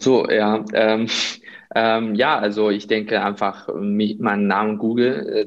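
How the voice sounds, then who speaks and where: A man with a Chinese accent, fairly low and monotone, at a fairly slow pace, amid noticeable background noise. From China. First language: Chinese (speaking German). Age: 30s. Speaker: healthcare business consultant. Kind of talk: interview. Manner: hesitant, many fillers.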